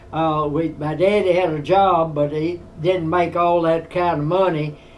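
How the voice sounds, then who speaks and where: A high-pitched man with an American accent speaks at a fairly slow pace in a monotone, flat intonation. There is audible room echo. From US South, Tennessee. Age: 90s. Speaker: war veteran. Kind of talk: storytelling interview. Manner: halting.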